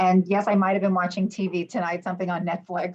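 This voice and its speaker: Speaking with an American accent, a woman keeps to a medium pitch. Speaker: cruise line sales representative. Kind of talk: online sales presentation.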